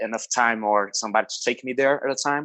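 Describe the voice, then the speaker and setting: In a Brazilian Portuguese accent, a man speaks fairly quickly with monotone, flat intonation against a quiet background. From Brazil, Rio de Janeiro state. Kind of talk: podcast interview. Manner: casual, halting with fillers.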